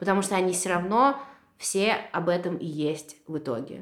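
A woman with a fairly low voice speaks at a moderate pace on a very clean recording with a silent background. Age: 30s. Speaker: painter. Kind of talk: casual chat. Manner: animated.

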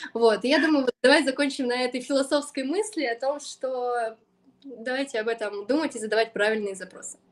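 A woman with a high voice talks fairly quickly, her pitch varying in an ordinary way. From Siberia, Krasnoyarsk region. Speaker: SMM specialist, agency founder. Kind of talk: podcast interview.

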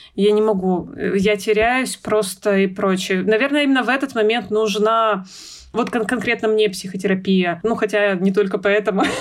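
Over noticeable background noise, a woman talks at a moderate pace and medium pitch, with very even loudness and fairly even intonation. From Russia, Urals (Yekaterinburg). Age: 30s. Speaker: mother. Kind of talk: casual chat.

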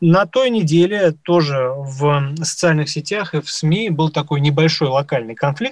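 The man has an unremarkable speaking voice at a fairly high pitch. He talks at a moderate pace with ordinary pitch variation. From Moscow. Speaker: radio host, journalist. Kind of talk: live radio talk.

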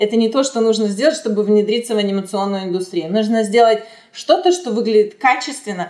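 A woman with a fairly high pitch speaks at a fairly quick pace with lively intonation amid noticeable background noise. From Russia (Chelyabinsk), later Israel. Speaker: animation art director. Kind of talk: interview.

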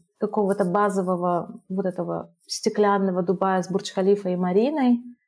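The woman's tone is dark and mellow. She keeps a moderate pace. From Russia (family moved around; Moscow from 2004). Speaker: expat entrepreneur, former guesthouse owner. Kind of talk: casual interview.

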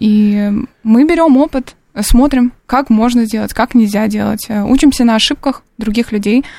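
A woman with a dark, mellow tone and a fairly high pitch speaks at a fairly slow pace, her pitch varying in an ordinary way. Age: 20s. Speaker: political science student. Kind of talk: radio panel discussion. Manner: hesitant, many filler sounds.

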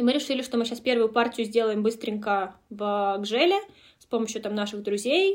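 A woman talks at a moderate pace in a plain, everyday voice. Her fairly high pitch has ordinary variation. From Russia, Moscow Oblast (near Kolomna). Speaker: brand co-founder. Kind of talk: interview conversation.

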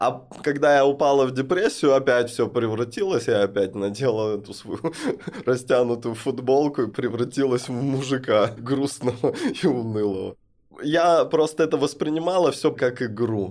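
Speaking at a moderate pace with ordinary pitch variation, a man has a plain, everyday voice. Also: medium pitch for a man. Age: 30s. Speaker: non-binary podcast guest. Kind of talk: personal testimony in interview. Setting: studio.

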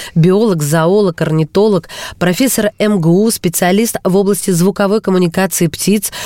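In an ordinary speaking voice, a woman talks at medium pitch and a moderate pace with ordinary pitch variation, the sound dry and close with no echo. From Russia, Kursk. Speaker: radio host. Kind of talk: radio interview. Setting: studio.

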